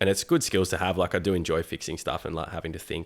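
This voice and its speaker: A man speaks with an Australian accent in a very deep, low pitch. The recording is very clean, with a silent background. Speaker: yoga teacher, former electrician. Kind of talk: casual chat.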